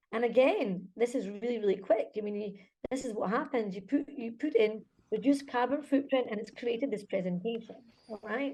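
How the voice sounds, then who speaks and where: A woman's fairly high voice with a Scottish accent, fairly quick delivery and ordinary pitch variation. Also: big swings in loudness. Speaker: conference speaker, school director. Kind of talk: conference presentation.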